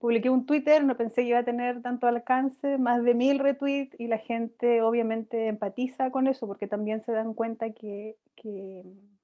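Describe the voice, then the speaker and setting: The speaker moves at a moderate pace with hardly any pauses and fairly even intonation. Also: woman, high pitch for a woman. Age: 30s. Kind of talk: interview.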